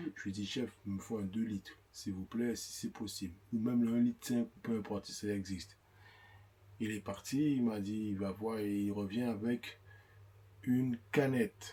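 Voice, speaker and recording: A man's fairly low voice with a dark, mellow tone, at a fairly slow pace. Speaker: vlogger's husband. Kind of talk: casual chat. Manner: animated.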